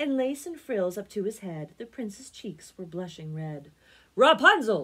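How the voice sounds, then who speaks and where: Over a quiet background, a woman speaks fairly slowly in a bright, sharp tone, with very wide pitch swings and big swings in loudness. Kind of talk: read-aloud storytelling. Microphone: phone near.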